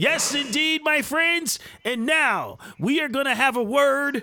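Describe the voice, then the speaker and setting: A man speaks in a raised, projected voice. His pace is moderate. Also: very clean recording, silent background. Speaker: podcast host. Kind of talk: angry rant. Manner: indignant, emphatic, preachy, fired-up.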